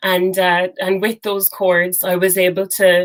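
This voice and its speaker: With an Irish accent, a woman speaks at a fairly slow pace. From Ireland, Cork. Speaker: singer-songwriter. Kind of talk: interview.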